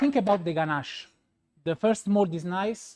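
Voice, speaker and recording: In a Roman accent, a man speaks with lively intonation in a dry, close sound with no echo. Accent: Roman Italian. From Italy, Rome. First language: Italian. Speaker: pastry chef. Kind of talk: live product demonstration. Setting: demo laboratory, live stream. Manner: hesitant, many filler sounds.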